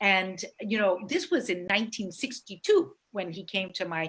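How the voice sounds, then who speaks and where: This woman has an ordinary speaking voice with an American accent, medium pitch, lively intonation and a moderate pace. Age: 60s. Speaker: space entrepreneur. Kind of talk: presentation with slides.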